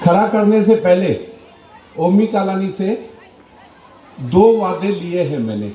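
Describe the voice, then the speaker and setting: A man with a high pitch and ordinary pitch variation leaves long, frequent pauses, with music in the background and audible room echo. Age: 70s. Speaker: politician. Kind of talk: political rally speech.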